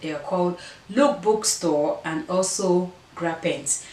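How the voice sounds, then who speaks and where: Lively in intonation, a woman of medium pitch speaks with an African accent, with audible room echo and noticeable background noise. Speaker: fashion vlogger. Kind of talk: try-on haul vlog.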